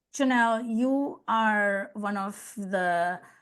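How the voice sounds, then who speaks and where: The speaker has an Indian accent and ordinary pitch variation. The background is quiet. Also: woman. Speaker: customer success leader and consultant. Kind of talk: interview podcast conversation.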